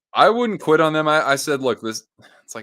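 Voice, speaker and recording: The man's voice has a bright, sharp tone. The recording is very clean with a silent background. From California, Monterey coast. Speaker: hockey livestream host. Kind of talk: casual livestream chat with game commentary. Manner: casual, animated.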